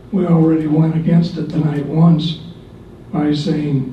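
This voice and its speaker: A man talks at a very slow pace in a high pitch. The room echo is audible, with noticeable background noise. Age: 70s. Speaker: retired music teacher. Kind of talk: public comment at school board meeting. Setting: board meeting. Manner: unscripted, somewhat halting.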